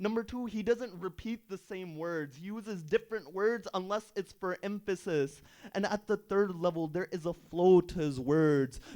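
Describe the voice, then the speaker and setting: At a moderate pace with hardly any pauses, a man speaks in a high-pitched voice with a dark, mellow tone. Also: ordinary pitch variation. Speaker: Islamic preacher. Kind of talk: sermon.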